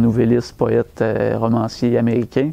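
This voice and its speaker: The speaker is a man. He has a Quebec accent. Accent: Québécois French. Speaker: bookseller. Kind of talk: book recommendation talk. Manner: hesitant, conversational.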